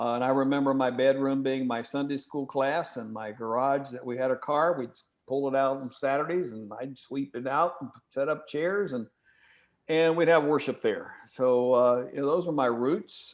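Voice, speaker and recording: Speaking at a medium pitch and moderate pace, a man with a slight Southern US accent keeps his intonation fairly even. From Kentucky and Ohio. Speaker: church stewardship consultant. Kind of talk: webinar presentation.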